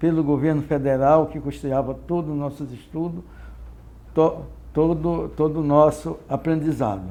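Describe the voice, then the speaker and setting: A man's dark, mellow voice, fairly high in pitch, with a fairly slow pace and fairly even intonation. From Brazil, Sergipe (Northeast). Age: 70s. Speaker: retired navy petty officer. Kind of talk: oral history interview. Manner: halting, with repetitions.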